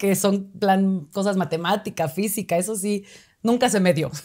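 A woman talks at a moderate pace, and the background is quiet. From Mexico, Oaxaca city. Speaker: actress. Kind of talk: casual interview chat. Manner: halting, many fillers. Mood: cheerful, animated. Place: studio. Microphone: lapel.

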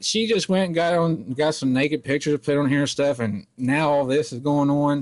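A man at a fairly high pitch, a normal speaking voice, moderate pace, quiet background. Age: 20s. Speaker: prank caller baiting a scammer. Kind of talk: prank phone call.

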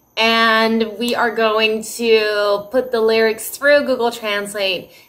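A woman with a fairly high pitch and an American accent speaks at a very slow pace. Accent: American accent when speaking Dutch. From United States. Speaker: Dutch language teacher. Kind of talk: casual vlog intro; casual vlog chat. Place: home room. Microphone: phone near.

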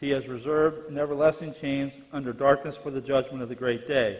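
Fairly even intonation marks this man's speech. His pace is moderate. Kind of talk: Bible class lecture and scripture reading. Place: church.

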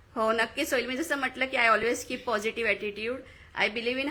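High in pitch, a woman's voice holds fairly even intonation. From Maharashtra, Badlapur. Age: young. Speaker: local election candidate and lecturer. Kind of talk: interview.

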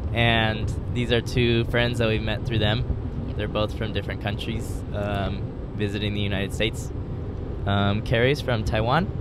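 Loud noise fills the background as a woman talks. No echo at all, just a dry sound. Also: fairly slow pace. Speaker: podcast co-host. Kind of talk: casual chat. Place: car. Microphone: handheld.

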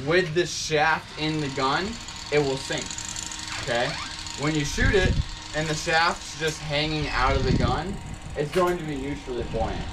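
Through noticeable background noise, a man speaks at a fairly slow pace with long, frequent pauses. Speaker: spearfishing charter guide. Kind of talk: instructional briefing. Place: boat. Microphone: camera far.

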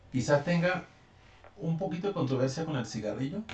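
A man with a fairly high pitch and lively intonation at a moderate pace, with audible room echo and light background noise. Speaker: reaction video host. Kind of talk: casual reaction commentary. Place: home room. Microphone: phone near.

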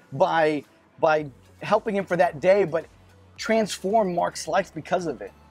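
A man with a high pitch at a moderate pace, dry sound with no echo and faint music in the background. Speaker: student pastor. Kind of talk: sermon. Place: cafe. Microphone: lapel.

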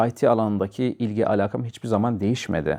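A man talks at a fairly quick pace in a dark, mellow tone. His pitch is fairly low, and the background is quiet. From Turkey, Samsun (Vezirköprü). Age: 30s. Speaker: IT specialist, former tourism teacher. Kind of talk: interview. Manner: hesitant with filler sounds.

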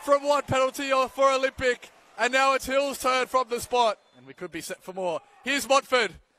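With an extremely high pitch, a man delivers an animated, raised and projected voice with ordinary pitch variation and big swings in loudness, the sound dry with no echo. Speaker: football commentator. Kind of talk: live match commentary. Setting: stadium match broadcast. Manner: fast, clipped play-by-play delivery; animated, rising in excitement at goals and penalties. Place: stadium.

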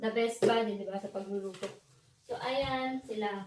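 The voice belongs to a woman. Her pitch moves up and down in an ordinary way. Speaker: beauty vlogger. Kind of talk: tutorial. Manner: casual, chatty with fillers.

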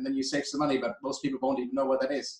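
A man speaks at a fairly high pitch with fairly even intonation. There is audible room echo over a quiet background. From Germany. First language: German. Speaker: energy policy director; guest. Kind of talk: expert interview. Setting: video call. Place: home room. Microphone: video call.

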